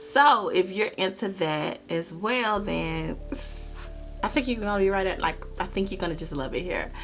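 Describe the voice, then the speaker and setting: Music plays behind the voice. The speaker is a woman. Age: 20s. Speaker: true crime YouTuber. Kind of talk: true crime storytelling to camera.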